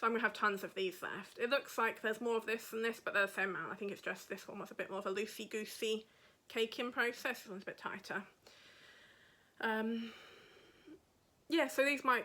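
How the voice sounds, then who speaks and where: A woman with a southern English accent speaks at a fairly high pitch, her tone bright and sharp. She talks at a fairly quick pace but leaves long, frequent pauses. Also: big swings in loudness. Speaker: podcaster and yarn dyer. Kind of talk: casual chat. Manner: chatty.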